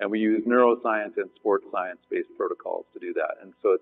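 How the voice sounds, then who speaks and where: A man at a fairly quick pace. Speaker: panel moderator. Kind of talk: panel introduction to a live audience. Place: stage.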